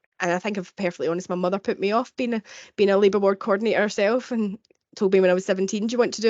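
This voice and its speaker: Talking at a very fast pace, a woman of medium pitch shows ordinary pitch variation. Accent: strong Glaswegian. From Scotland, Glasgow. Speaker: midwife. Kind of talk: webinar presentation.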